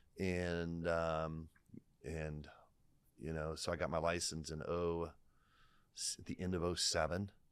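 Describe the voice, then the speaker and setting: In an American accent, a man with a very deep, low voice speaks very slowly in a flat monotone, leaving long, frequent pauses. The recording is very clean, with a silent background. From Ohio, Lima area. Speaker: realtor. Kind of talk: casual interview.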